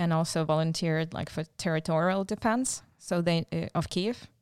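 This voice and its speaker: On a very clean recording with a silent background, a woman with a Ukrainian accent speaks at a moderate pace and a fairly low pitch. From Ukraine, raised partly in Czechoslovakia. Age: 40s. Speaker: missionary volunteer. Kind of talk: interview. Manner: halting.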